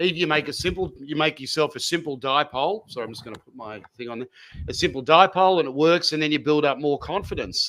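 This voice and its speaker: Energetic and enthusiastic, a man with a bright, sharp tone and fairly high pitch talks at a very fast pace, his loudness swinging widely amid ordinary pitch variation. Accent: Australian. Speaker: amateur radio operator. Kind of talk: interview answer. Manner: energetic, enthusiastic.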